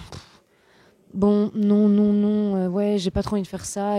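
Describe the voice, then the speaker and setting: At a moderate pace, a woman speaks in a dark, mellow tone. The sound is dry and close, with no echo. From Switzerland. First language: Flemish (speaking French). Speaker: actress. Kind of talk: interview. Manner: animated.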